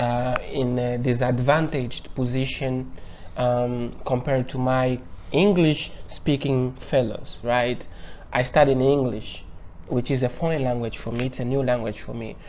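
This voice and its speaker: Audible room echo surrounds a man speaking at a fairly slow pace, medium pitch, and fairly even intonation. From Angola. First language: Portuguese. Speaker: university researcher. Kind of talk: interview.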